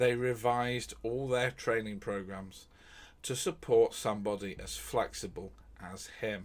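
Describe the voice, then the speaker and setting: The talking goes fairly slowly, in a British accent. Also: man. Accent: British, received pronunciation. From England. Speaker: true crime streamer. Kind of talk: live-stream storytelling with chat. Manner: academic, lecture-like; hesitant, many fillers.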